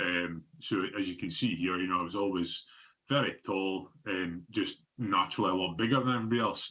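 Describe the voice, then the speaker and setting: A man with a northeast Scottish accent talks at a moderate pace and a fairly low pitch, with ordinary pitch variation. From northeast Scotland (Fraserburgh). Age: 30s. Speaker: obesity advocate. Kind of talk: presentation. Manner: halting, many fillers.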